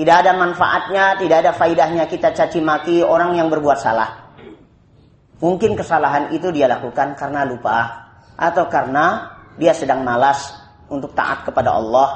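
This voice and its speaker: The speaker has a plain, everyday voice. The pace is moderate and the pitch varies an ordinary amount. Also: man, fairly high pitch for a man. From Indonesia. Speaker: Islamic preacher. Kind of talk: religious study lecture. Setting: evening study gathering.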